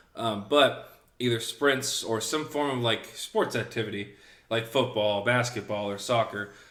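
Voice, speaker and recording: A man talks at a moderate pace with a slight Southern US accent. His intonation stays fairly even. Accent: slight Southern picked up. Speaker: podcast co-host. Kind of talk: casual chat.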